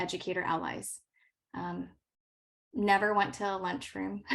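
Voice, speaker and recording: Speaking at a fairly slow pace, a woman talks with a Californian accent. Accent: General American (California). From Los Angeles, US. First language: not English. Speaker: science educator. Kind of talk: workshop presentation.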